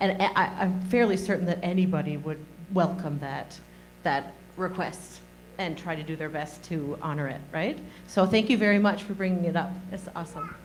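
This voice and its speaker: A woman's fairly low, somewhat breathy voice at a moderate pace, ordinary pitch variation, and audible room echo. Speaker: presenter. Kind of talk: audience comment.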